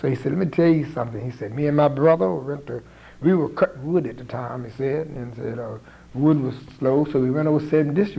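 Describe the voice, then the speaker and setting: A man with a normal speaking voice talks at a fairly quick pace and fairly high pitch, with ordinary pitch variation and big swings in loudness. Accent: American. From St. Mary's County, Maryland. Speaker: community activist. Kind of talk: oral history interview answer.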